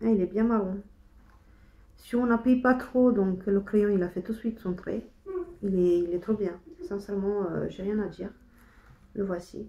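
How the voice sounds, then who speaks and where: Soft-spoken and at a medium pitch, a woman talks at a fairly slow pace with fairly even intonation and long, frequent pauses. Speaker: beauty vlogger. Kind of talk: casual chat. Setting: home kitchen. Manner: halting.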